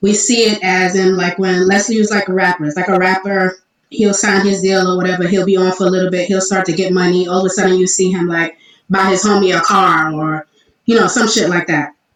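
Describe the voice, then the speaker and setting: Speaking at a fairly quick pace, a woman keeps a medium pitch, a monotone, flat intonation and very even loudness. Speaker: online talk show co-host. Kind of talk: casual chat. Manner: halting, self-described stuttering tonight.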